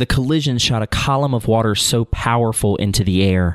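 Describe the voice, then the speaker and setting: A man uses a normal speaking voice at a moderate pace and a fairly low pitch. The recording is very clean, with a silent background. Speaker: podcast host. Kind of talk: history documentary narration, then casual interview. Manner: solemn, measured, formal storytelling.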